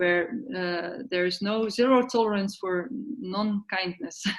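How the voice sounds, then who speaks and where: Speaking with a non-native accent, a woman uses a medium pitch and ordinary pitch variation. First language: not English. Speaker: yoga therapy network organizer. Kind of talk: online meeting discussion. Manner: halting.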